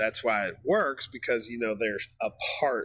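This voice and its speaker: A man with an American accent talks at a medium pitch in a bright, sharp tone. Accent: Southern US, comes out sometimes. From US South. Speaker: music reaction youtuber. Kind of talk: casual reaction commentary. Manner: halting, many fillers.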